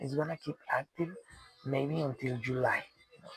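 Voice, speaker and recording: A man with a Spanish accent talks at a fairly high pitch, with ordinary pitch variation. Noticeable background noise runs under his voice. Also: dry, close sound with no echo. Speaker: commentator on world news. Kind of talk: solo monologue. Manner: halting, many repetitions and fillers.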